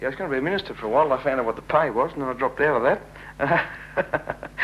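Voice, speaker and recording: Very fast speech from a man, with an Australian accent. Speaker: auctioneer. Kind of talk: interview answer. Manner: joking, self-deprecating.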